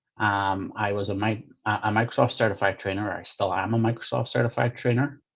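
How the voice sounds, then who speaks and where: With a Northern Irish accent, a man talks at a fairly quick pace with hardly any pauses, a somewhat breathy, fairly low voice and fairly even intonation. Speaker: product manager and coding trainer. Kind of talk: conference presentation. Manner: hesitant with fillers.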